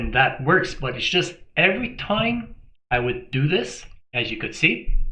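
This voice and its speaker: Over audible room echo, a man speaks at a moderate pace with lively intonation. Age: 60s. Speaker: health vlogger. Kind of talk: casual talk to camera.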